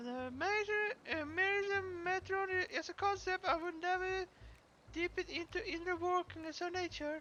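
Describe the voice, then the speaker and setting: The put-on character voice sits at an extremely high pitch and moves at a moderate pace. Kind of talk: streamer reading game dialogue aloud. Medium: game stream. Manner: halting, stumbling read-aloud.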